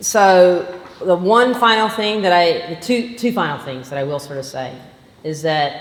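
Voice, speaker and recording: Amid audible room echo and noticeable background noise, a woman with a slight Southern US accent speaks at a fairly slow pace, her fairly low pitch carried by lively intonation. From Georgia, US South. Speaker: physician. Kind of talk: lecture.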